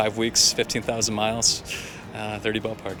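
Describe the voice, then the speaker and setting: With noticeable background noise behind it, the talking rushes along at a very fast pace. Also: man. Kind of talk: interview answer.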